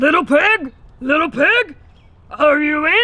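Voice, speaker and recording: Someone puts on a character voice, pitched high and delivered at a fairly slow pace. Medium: read story.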